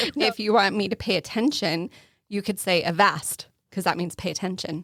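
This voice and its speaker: A woman with an Arizona accent speaks at a medium pitch with ordinary pitch variation. The recording is very clean, with a silent background and a dry, close sound with no echo. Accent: natural regional accent, Arizona. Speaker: podcast co-host.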